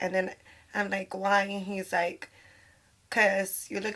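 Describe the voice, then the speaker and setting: A woman speaks loudly at a fairly slow pace, her bright, sharp tone held in a flat monotone. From Puerto Rican heritage. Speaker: podcast guest, dancer and model. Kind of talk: casual chat.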